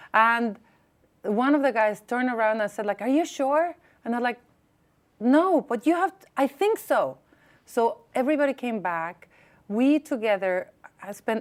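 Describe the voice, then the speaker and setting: A loud woman's voice, high in pitch, at a fairly slow pace with lively intonation. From Mexico. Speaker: advocate and former diplomat. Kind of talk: interview.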